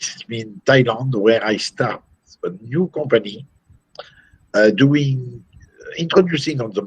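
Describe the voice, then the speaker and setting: With a French accent, the speaker talks at a fairly slow pace with ordinary pitch variation. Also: man. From France. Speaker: company CEO. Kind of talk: interview. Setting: video call. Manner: halting.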